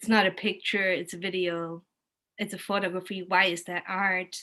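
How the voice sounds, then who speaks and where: The speaker has a German accent and a bright, sharp tone. Delivery is at a moderate pace with monotone, flat intonation. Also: woman. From Germany, Kassel. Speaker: arts and cultural professional, art educator. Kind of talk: casual chat, storytelling on video call. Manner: halting, many restarts.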